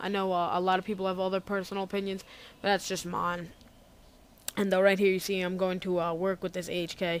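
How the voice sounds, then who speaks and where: In a very clean recording with a silent background, a woman speaks quietly at a medium pitch. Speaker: gaming commentator. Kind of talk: gameplay commentary. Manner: quiet, low energy.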